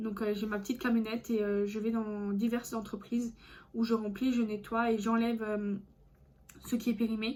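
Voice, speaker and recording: Somewhat breathy, a woman speaks with a fairly high pitch, a dark, mellow tone and monotone, flat intonation. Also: moderate pace. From France, Alsace. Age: 20s. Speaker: vlogger. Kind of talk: casual vlog monologue. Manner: hesitant, many fillers.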